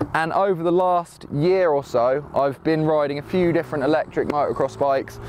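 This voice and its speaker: The man's voice has ordinary pitch variation and a dry sound with no echo, over light background noise. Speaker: motorbike vlogger. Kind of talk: casual vlog chat. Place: open country.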